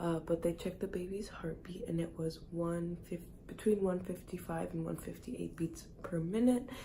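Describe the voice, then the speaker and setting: Quiet and somewhat breathy, a woman speaks with a dark, mellow tone and fairly even intonation. Audible room echo is present. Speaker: vlogger. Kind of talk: casual vlog talk. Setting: doctor's office.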